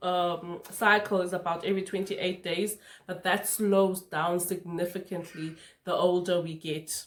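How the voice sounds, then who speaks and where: A woman with a plain, everyday voice, medium in pitch, at a moderate pace with fairly even intonation. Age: 30s. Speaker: skincare youtuber. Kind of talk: tutorial. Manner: casual, conversational.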